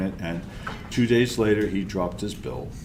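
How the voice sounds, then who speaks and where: A man speaks at a fairly quick pace with ordinary pitch variation, with audible room echo and noticeable background noise. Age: 70s. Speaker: conference speaker, open source advocate. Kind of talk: conference talk. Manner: animated.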